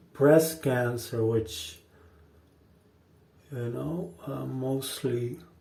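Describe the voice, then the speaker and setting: At a very slow pace, a man talks at medium pitch with ordinary pitch variation and long, frequent pauses, with audible room echo. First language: not English. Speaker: shaving video host. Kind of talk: casual talk to camera during a shave. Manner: halting, many fillers and repeats.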